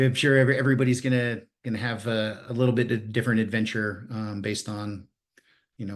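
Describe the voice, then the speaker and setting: A man talks at a very fast pace with a fairly low pitch. The background is quiet. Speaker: security workshop presenter. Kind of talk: live technical tutorial.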